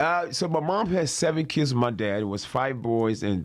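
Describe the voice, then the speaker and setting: A man with a Ghanaian accent speaks at a moderate pace in a medium pitch with very wide pitch swings. The recording is very clean, with a silent background. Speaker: comedian. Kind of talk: interview answer. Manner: joking, casual.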